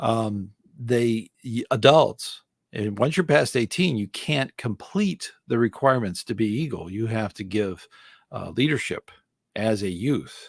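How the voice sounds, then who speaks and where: On a very clean recording with a silent background and a dry, close sound with no echo, a man with an unremarkable speaking voice talks with lively intonation. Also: medium pitch for a man, fairly slow pace. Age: 60s. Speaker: scouting volunteer and live-stream host. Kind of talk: live stream Q&A answering chat. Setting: solo live stream. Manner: casual, with many fillers and restarts.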